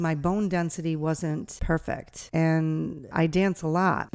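In an American accent, a woman with a normal speaking voice talks at a fairly low pitch with fairly even intonation, recorded very cleanly against a silent background. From upstate New York (Niagara Falls). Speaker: dance teacher. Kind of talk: casual interview. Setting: cabin at a dance camp.

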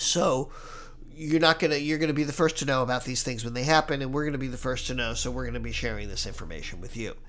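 A man talks at a very fast pace, with audible room echo around him. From Hawaii. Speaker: podcast host and travel agency owner. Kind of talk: casual podcast monologue.

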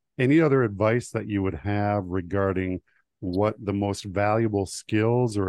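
A man with an ordinary speaking voice talks in a fairly low pitch. His pace is moderate. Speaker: podcast host. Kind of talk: interview, scripted intro.

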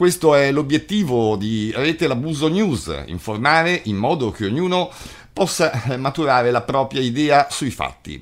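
A man speaks in an unremarkable speaking voice at fairly high pitch. His pace is fairly slow, and his intonation is lively. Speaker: news presenter and abuse survivor spokesperson. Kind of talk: news reading, formal read-out bulletin introduction. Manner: formal; steady, measured, serious newsreader delivery.

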